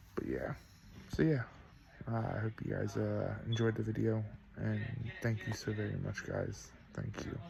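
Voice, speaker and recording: A soft-spoken man talks at a moderate pace with long, frequent pauses. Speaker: vlogger. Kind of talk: casual vlog talk. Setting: indoors at night. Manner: halting.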